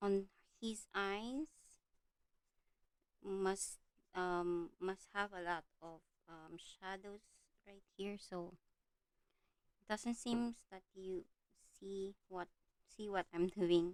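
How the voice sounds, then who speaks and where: A woman with a Filipino accent speaks at a very slow pace and a medium pitch, with long, frequent pauses. Her intonation stays fairly even while her loudness swings widely. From Philippines. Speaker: art livestreamer. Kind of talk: livestream chat while coloring. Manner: halting, many fillers.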